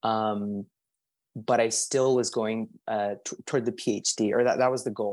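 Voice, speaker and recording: In an unremarkable speaking voice, the speaker goes at a fairly slow pace with fairly even intonation, in a dry, close sound with no echo on a very clean recording with a silent background. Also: man, medium pitch for a man. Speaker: language access policy coordinator. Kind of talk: panel discussion.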